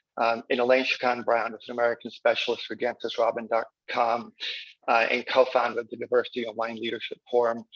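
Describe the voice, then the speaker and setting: A man rattles along at a very fast pace in a monotone, flat delivery, the sound dry and close with no echo. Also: medium pitch for a man. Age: 60s. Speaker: winery owner. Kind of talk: conference introduction.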